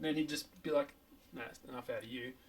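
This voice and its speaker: There is noticeable background noise behind a man with an Australian accent. His fairly high pitch carries lively intonation. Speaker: podcast host. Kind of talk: casual chat.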